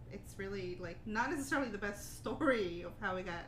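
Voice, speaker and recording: Noticeable noise sits in the background. A woman talks at a moderate speed. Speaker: podcast co-host.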